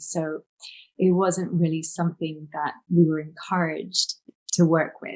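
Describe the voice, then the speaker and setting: Somewhat breathy and fairly low-pitched, a woman talks at a fairly slow pace with a British accent. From England, North London. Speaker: holistic healer and author. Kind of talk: interview.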